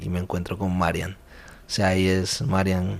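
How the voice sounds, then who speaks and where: The man's voice has a very deep, low pitch. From Colombia. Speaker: university volunteer coordinator. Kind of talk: testimony interview. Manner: halting, with repeated words.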